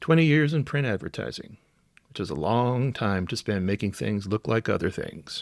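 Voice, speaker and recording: Someone with an American accent speaks at a moderate pace with lively intonation and vocal fry. The recording is very clean with a silent background, and the sound is dry and close with no echo. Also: man. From US South, South Carolina low country. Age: 60s. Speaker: podcast host. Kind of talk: podcast monologue.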